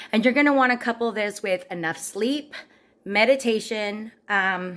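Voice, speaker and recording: A woman is speaking at a moderate pace. Her pitch varies in an ordinary way. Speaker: vlogger. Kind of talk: casual vlog chat. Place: kitchen. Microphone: phone near.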